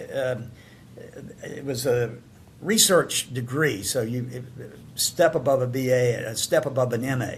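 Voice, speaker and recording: Speaking with a Southern US accent, the voice is somewhat breathy, has ordinary pitch variation and includes long, frequent pauses. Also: man. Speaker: podcast host and pollster. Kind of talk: casual chat. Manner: halting, many fillers.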